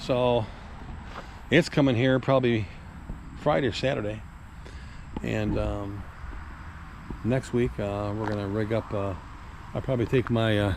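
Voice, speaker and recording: Speaking at a moderate pace, a man leaves long, frequent pauses. His fairly low voice shows ordinary pitch variation over noticeable background noise. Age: 60s. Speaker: classic car collector and mechanic vlogger. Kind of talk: casual vlog talk to camera. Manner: rambling, filler-heavy (uh, um).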